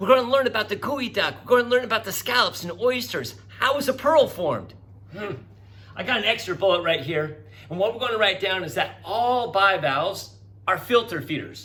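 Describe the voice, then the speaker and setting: A man speaks in a raised, projected voice with a bright, sharp tone. His pitch is high, it swings very widely, and his pace is moderate. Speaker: teacher. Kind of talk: recorded classroom lecture.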